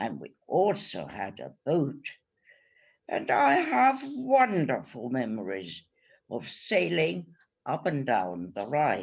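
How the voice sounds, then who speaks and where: A woman speaks at a very slow pace, her volume rising and falling sharply. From Germany. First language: German. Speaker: Holocaust survivor. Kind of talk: testimony presentation.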